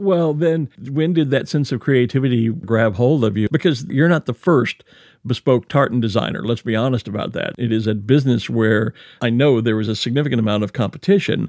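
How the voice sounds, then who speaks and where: A man speaks fairly quickly at a medium pitch, with lively intonation. He has an unremarkable speaking voice. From United States. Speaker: podcast host. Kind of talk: interview with scripted narration.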